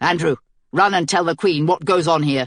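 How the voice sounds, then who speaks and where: A growling put-on character voice at a middle pitch and moderate pace, with a quiet background. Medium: read story. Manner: clipped, disdainful.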